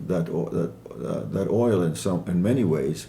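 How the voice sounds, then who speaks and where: Words arrive at a moderate pace while audible room echo lingers around them. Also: man. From Iran (Kermanshah), Assyrian family. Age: 80s+. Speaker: author. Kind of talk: interview. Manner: hesitant, many fillers.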